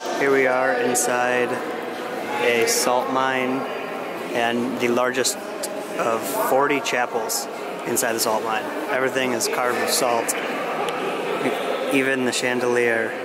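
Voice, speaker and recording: A man at a very slow pace with long, frequent pauses, in a dry sound with no echo and loud background noise. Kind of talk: casual vlog chat. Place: church. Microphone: phone near.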